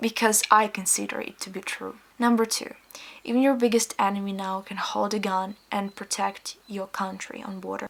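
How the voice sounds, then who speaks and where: A woman with a Ukrainian accent and a medium pitch, at a moderate pace, monotone and flat in intonation, with big swings in loudness and noticeable background noise. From Ukraine. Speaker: vlogger. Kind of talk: personal vlog monologue.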